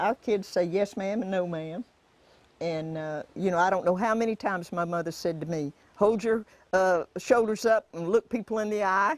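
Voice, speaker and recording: A woman with a Florida accent, in a dry, close sound with no echo. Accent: rural Florida Southern. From US South, interior Florida (Indiantown). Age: 90s (born 1929). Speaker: rancher. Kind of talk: interview testimony. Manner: halting, many restarts.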